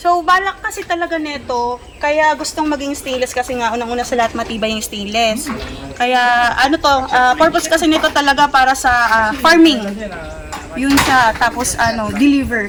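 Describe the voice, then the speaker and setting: A woman's high-pitched voice with lively intonation at a moderate pace, over noticeable background noise. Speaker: customer picking up a vehicle. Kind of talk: casual interview.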